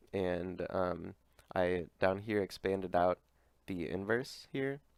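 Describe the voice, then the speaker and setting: A man speaks with a fairly low pitch and fairly even intonation. The recording is very clean, with a silent background. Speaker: university student. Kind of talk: academic presentation. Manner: hesitant, many fillers.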